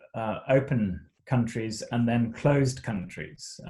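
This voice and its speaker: A somewhat breathy male voice. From Zimbabwe. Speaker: missionary. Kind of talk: interview. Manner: halting.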